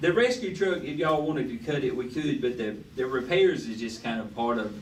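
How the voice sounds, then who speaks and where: A loud man with an American accent, lively intonation and a moderate pace, with audible room echo. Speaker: city official presenting budget. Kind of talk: budget workshop meeting discussion. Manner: halting, many fillers; speaking loudly.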